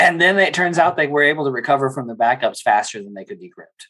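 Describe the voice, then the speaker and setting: Talking very fast with an American accent, a man uses a fairly high pitch that swings very widely. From Texas. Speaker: state IT and cybersecurity official. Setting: video call.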